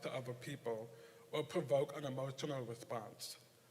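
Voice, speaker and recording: A man's somewhat breathy voice in an American accent, at a moderate pace with fairly even intonation. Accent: deaf. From Nebraska. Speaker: poetry contest judge. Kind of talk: prepared speech.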